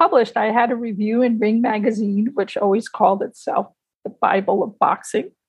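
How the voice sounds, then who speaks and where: A woman talks in an unremarkable speaking voice at a moderate pace. Her pitch is fairly high. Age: 60s. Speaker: retired civil servant, amateur boxer and writer. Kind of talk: interview.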